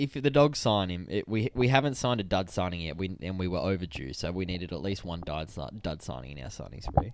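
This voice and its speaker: The speaker has an Australian accent, with very wide pitch swings and big shifts in loudness. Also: man. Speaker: sports podcast host. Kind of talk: casual chat. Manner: animated.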